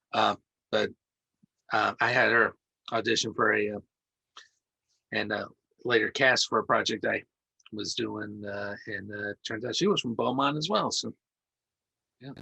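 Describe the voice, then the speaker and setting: A man talks at a moderate pace with a slight East Coast accent, leaving long, frequent pauses. The sound is dry and close with no echo, and the background is quiet. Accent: slight East Coast touch. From US Midwest. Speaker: podcast host. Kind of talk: casual interview.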